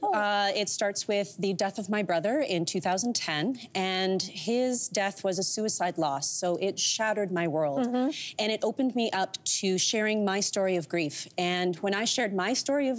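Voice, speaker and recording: At a moderate pace, a woman speaks, her pitch varying in an ordinary way. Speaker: guest. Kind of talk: interview answer. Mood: warm, candid, sometimes sad. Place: studio. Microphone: lapel.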